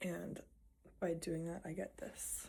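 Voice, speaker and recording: Her voice has a dark, mellow tone and carries vocal fry, marking a woman speaking. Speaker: vlogger, nurse and physique competitor. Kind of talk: casual vlog. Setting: at home, filming with own camera. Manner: casual, filler-heavy.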